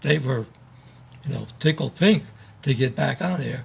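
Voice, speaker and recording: A man is speaking. His pitch swings very widely. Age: 80s+. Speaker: navy veteran. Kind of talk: interview.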